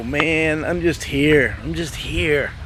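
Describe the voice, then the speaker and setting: A man talks at a very slow pace. There is audible room echo and noticeable background noise. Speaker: motorcycle restoration vlogger. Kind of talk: casual vlog.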